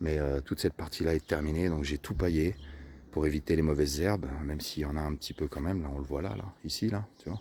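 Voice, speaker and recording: A soft-spoken man's very deep, low voice with a dark, mellow tone, ordinary pitch variation and a very fast pace. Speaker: vlogger gardener. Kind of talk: casual vlog walkthrough. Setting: outdoors in garden. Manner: hesitant, many fillers.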